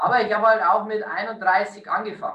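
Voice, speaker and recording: This man speaks in a high pitch with a raised, projected voice. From Lower Bavaria, Bavarian Forest. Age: 30s. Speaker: hotel director. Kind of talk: interview.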